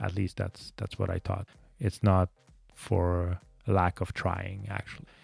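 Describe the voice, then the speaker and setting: Very deep and low in pitch, a man with a French Canadian accent speaks somewhat breathily at a fairly slow pace with fairly even intonation. The recording is very clean, with a silent background and a dry, close sound with no echo. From Quebec, Montreal. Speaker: podcast host. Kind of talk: solo monologue podcast. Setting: home studio, microphone. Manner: halting, many fillers.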